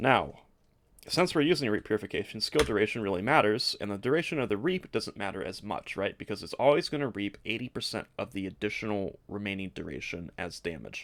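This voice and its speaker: Against a silent background in a very clean recording, a man with a fairly low pitch speaks at a fairly quick pace with lively intonation. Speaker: gaming YouTuber. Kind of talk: game build tutorial. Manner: fast.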